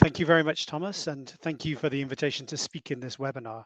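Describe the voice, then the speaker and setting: This put-on character voice is raspy and rushes along at a very fast pace. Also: man, fairly high pitch for a man. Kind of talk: formal webinar speech.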